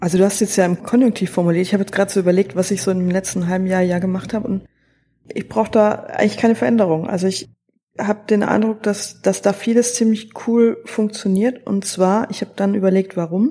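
Very fast and somewhat breathy, a woman speaks at a medium pitch with a dark, mellow tone and fairly even intonation. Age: 30s. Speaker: theologian, church innovation officer. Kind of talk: podcast interview.

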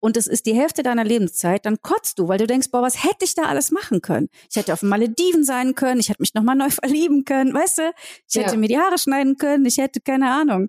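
A woman speaks at a very fast pace in a high voice with very wide pitch swings and very even loudness. The sound is dry and close with no echo. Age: 40s. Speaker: entrepreneur and singer. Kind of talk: interview. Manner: casual.

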